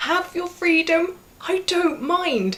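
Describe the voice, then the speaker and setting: There is noticeable background noise as a woman talks at a fairly slow pace. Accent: British. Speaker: vlogger. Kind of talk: vlog monologue.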